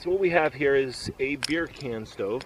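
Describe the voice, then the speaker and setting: A man at a fairly slow pace, with noticeable background noise. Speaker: outdoors vlogger. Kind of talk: casual tutorial. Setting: outdoors at campsite. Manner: loud.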